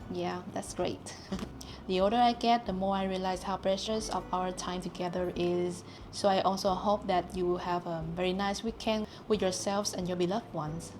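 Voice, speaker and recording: With a non-native accent, a woman speaks at a moderate pace and medium pitch, her intonation fairly even. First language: not English. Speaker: long hair model. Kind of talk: casual talk to camera.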